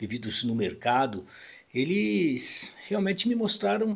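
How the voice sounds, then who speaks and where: Very wide swings in pitch and vocal fry from a male speaker. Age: 60s. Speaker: radio broadcaster. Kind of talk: personal reminiscence monologue. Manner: halting.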